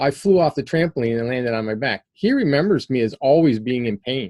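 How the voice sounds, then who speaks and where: Ordinary pitch variation marks this man's medium-pitched speech. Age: 60s. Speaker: PEMF therapy instructor. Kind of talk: online class Q&A. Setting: video call. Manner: halting.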